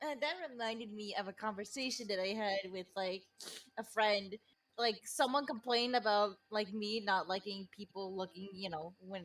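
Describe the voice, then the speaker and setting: A woman's medium-pitched voice at a moderate pace, with a non-native accent. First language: not English. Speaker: podcast guest. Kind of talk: casual chat.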